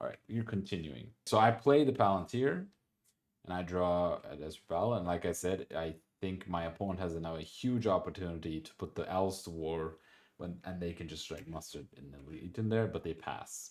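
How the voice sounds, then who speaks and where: A man's very deep, low voice with a non-native accent, at a moderate pace, with big swings in loudness. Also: ordinary pitch variation, very clean recording, silent background. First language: not English. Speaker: board game player and commentator. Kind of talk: gameplay commentary. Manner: halting, many repetitions and restarts; casual, conversational.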